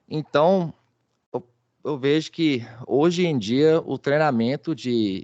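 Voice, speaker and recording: Against a quiet background, a man talks at a very slow pace. His voice is fairly high with ordinary pitch variation, and the sound is dry and close with no echo. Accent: Minas Gerais. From Brazil, Belo Horizonte, Minas Gerais. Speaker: data protection executive, webinar presenter. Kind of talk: webinar presentation. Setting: online webinar. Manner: hesitant, with fillers and repetitions.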